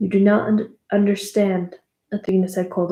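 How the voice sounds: The clip has a natural reading voice and a quiet background.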